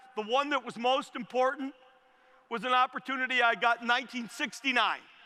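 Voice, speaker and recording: A raised, projected voice at a moderate pace, energetic and enthusiastic in tone. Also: man. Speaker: commencement speaker, former tech company CEO. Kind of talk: commencement speech to a live stadium audience. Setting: outdoor stadium with PA system. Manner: energetic, fired up, enthusiastic.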